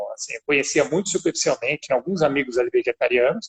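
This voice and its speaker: Recorded dry and close with no echo, a man speaks at a very fast pace. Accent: São Paulo. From São Paulo, Brazil. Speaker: business owner. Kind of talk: interview.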